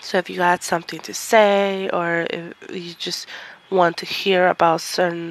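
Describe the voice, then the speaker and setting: Fairly low, monotone woman's voice with flat intonation at a fairly slow pace, with noticeable background noise. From Mexico. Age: 20s. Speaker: podcast host and university student. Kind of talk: solo podcast monologue.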